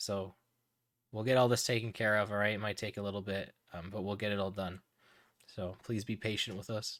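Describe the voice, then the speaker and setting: A soft-spoken man at a fairly quick pace in a monotone, flat intonation, on a very clean recording with a silent background. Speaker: livestream charity fundraiser host. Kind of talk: live stream chat with viewers. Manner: halting, many fillers.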